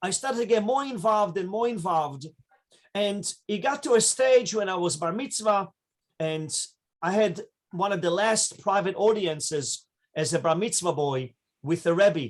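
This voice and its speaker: A man with an Israeli accent speaks at a moderate pace in a high voice, with lively intonation and long, frequent pauses. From Israel, raised in New York from age 12. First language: Hebrew. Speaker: rabbi. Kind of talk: interview storytelling.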